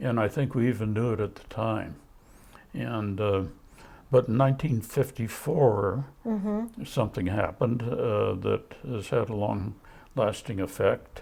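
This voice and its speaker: Speaking fairly slowly with an American accent, a man has a medium pitch and ordinary pitch variation. His tone is dark and mellow, with vocal fry. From California. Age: 80s+. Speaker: cattle rancher. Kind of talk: interview answer.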